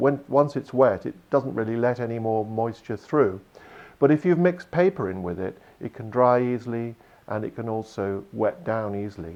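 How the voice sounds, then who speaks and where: Using a normal speaking voice at a medium pitch, a man talks at a moderate pace with lively intonation and big swings in loudness. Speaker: sculptor. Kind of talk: interview answer.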